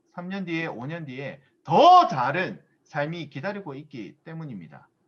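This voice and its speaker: A man talks slowly-ish in a normal speaking voice, fairly high in pitch with ordinary pitch variation and big swings in loudness. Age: 30s. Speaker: business seminar speaker. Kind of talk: motivational lecture.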